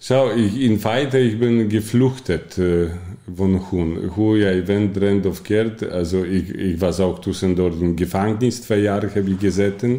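In a Polish accent, a man talks at a very slow pace, his fairly low voice held at a very even loudness. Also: fairly even intonation, hardly any pauses. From Poland. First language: Polish (speaking Dutch). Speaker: coach and bookkeeper, former addict. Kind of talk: personal testimony in interview. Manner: halting.

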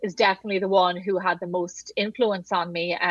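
Woman's voice at medium pitch, with fairly even intonation and a moderate pace. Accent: Irish. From Wexford, southeast Ireland. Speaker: podcast guest, cookbook author; pastry chef. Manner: conversational, frequent "like" filler.

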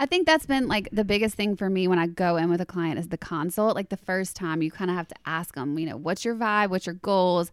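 Fairly quick and with hardly any pauses, a woman with a Southern US accent speaks at a medium pitch with ordinary pitch variation, recorded dry and close with no echo on a very clean recording with a silent background. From US South, Louisiana. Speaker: celebrity stylist. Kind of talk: casual chat. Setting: studio.

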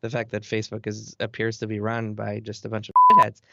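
A man at a medium pitch, a normal speaking voice, at a fairly quick pace. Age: 30s. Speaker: video game journalist. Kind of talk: casual interview.

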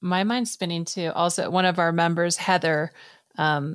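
A woman with a plain, everyday voice talks at a moderate pace in a fairly low pitch. The very clean recording has a silent background and a dry, close sound with no echo. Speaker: podcast co-host. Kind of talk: casual interview chat.

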